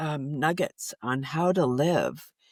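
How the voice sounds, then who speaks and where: In a Canadian accent, a woman is heard on a very clean recording with a silent background and a dry, close sound with no echo. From Canada, Toronto. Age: 60s. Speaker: environmentalist and laughter yoga leader. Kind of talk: podcast interview. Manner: halting, many restarts.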